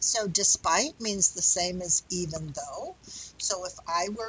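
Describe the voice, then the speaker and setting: A woman speaks at a very slow pace with lively intonation. The sound is dry with no echo, over light background noise. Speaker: English teacher. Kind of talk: lecture. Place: home room. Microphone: headset.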